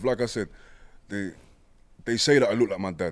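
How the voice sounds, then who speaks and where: A man speaks fairly quickly with a British accent. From East London, Hackney. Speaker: poet and rapper. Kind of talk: casual chat.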